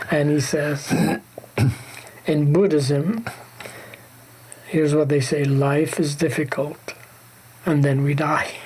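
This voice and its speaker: A man with a fairly high pitch at a very slow pace, long, frequent pauses, very even loudness, and noticeable background noise. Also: fairly even intonation. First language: Arabic. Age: old. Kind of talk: reflective faith conversation.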